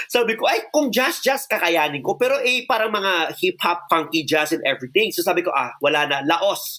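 A man's raised, projected voice has a bright, sharp, animated tone and lively intonation at a moderate pace. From Philippines, Iloilo City. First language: Filipino. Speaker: choreographer. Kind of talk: interview storytelling, Taglish.

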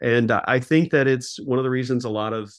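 A man talks in a normal speaking voice at a medium pitch. He uses ordinary pitch variation. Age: 40s. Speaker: trumpet player. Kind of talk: interview. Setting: phone call.

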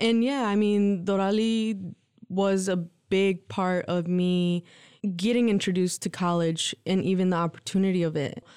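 On a very clean recording with a silent background, a woman with an unremarkable speaking voice talks at a moderate pace in a medium pitch with fairly even intonation. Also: very even loudness. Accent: American. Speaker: college enrollment support specialist. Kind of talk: casual interview chat.

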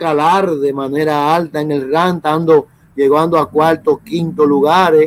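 A man's fairly high voice, flat and monotone, at a fairly slow pace. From Dominican Republic, south, raised in Santo Domingo. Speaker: rugby federation official. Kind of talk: interview.

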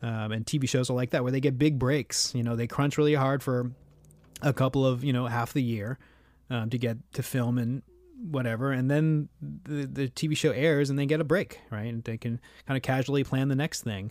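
An unremarkable speaking voice from a man at medium pitch, with fairly even intonation and a moderate pace. The recording is very clean, with a silent background. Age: 30s. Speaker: composer. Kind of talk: casual interview.

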